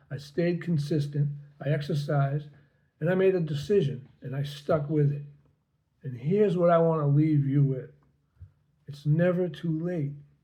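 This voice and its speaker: A man with a somewhat breathy, dark, mellow tone speaks at a fairly high pitch and moderate pace, his intonation fairly even, with long, frequent pauses and audible room echo. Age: 70s. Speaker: health vlogger. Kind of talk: personal testimony. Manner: casual, slightly halting.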